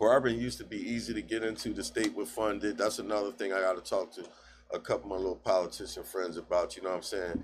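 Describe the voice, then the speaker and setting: A man talks at a very fast pace. The recording is very clean, the background silent. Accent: American. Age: 50s. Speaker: barber. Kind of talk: casual chat.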